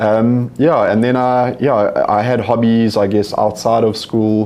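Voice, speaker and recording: Intonation stays monotone and flat as the words come at a fairly slow pace. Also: man, medium pitch for a man. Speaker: company CEO and entrepreneur. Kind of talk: interview on stage.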